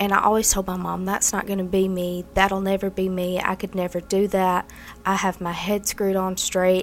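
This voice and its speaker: A woman with a Mississippi accent talks at a moderate pace and medium pitch. Her intonation is monotone and flat. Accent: Southern US (Mississippi). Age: 20s. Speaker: recovering addict sharing her story. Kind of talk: testimony.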